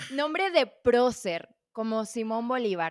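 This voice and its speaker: A woman with a plain, everyday voice speaks at a fairly slow pace and a fairly high pitch, with lively intonation. The recording is very clean with a silent background. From Venezuela. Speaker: podcast host, journalist. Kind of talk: casual interview; scripted podcast intro.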